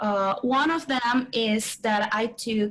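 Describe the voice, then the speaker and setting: Very slowly and at a high pitch, a woman talks in a Portuguese accent. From Brazil. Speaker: PhD student. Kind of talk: casual testimony.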